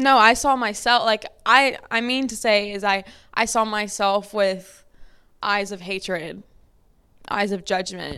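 A woman's bright, sharp, animated voice at medium pitch and a fairly slow pace, very cleanly recorded over total silence. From US South, Lafayette, Louisiana. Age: 20s. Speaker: podcast host. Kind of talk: solo personal storytelling. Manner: animated, casual with frequent laughter.

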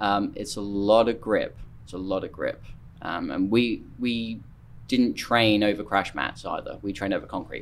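A man with an East Anglian accent speaks at a moderate pace, with big swings in loudness. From Norfolk, eastern England. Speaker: CrossFit coach and competition judge. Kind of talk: casual interview chat.

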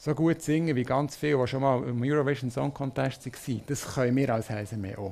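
The recording is very clean, with a silent background, as a man talks at a fairly quick pace. He has an ordinary speaking voice at medium pitch with ordinary pitch variation. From Switzerland, near Bern (Münsingen). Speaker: marketing manager, former Eurovision delegation lead. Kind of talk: live interview before audience.

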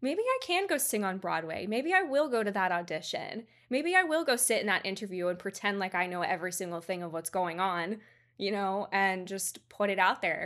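Heard in a very clean recording with a silent background, a woman with an unremarkable speaking voice talks at a moderate pace and medium pitch, her intonation lively. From Georgia, US. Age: 20s. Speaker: photographer. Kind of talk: casual interview.

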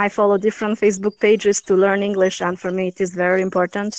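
Her delivery very fast, a woman speaks at medium pitch with monotone, flat intonation. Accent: Albanian. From Albania, Durrës. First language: Albanian. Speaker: podcast guest, English learner. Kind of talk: casual interview. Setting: online call. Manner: halting, non-fluent. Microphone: poor connection, voice fades out at times.

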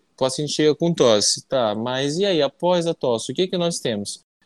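A man with a normal speaking voice, fairly high pitch, lively intonation and a moderate pace. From Amazonas, Brazil (interior). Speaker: pulmonologist. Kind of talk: interview.

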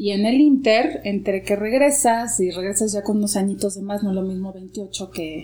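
This is an unremarkable speaking voice, a woman's, at a medium pitch. She moves at a moderate pace with hardly any pauses and ordinary pitch variation. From Mexico, Guadalajara. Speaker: actress and yoga teacher. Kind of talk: interview conversation.

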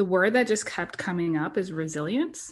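A moderate pace against a quiet background. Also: woman. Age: 30s. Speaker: podcast co-host. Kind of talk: casual chat.

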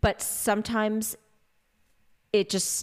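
A woman with a Canadian accent speaks very slowly at a fairly high pitch on a very clean recording with a silent background. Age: 30s. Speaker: podcast guest sharing fertility story. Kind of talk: casual conversation, personal testimony.

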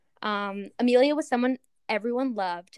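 At a moderate pace and with ordinary pitch variation, a woman talks in a normal speaking voice. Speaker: podcast co-host. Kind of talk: scary story telling.

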